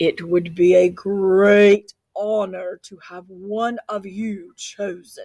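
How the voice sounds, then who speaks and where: The speaker uses a put-on character voice at a middle pitch. The delivery is very slow. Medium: read story.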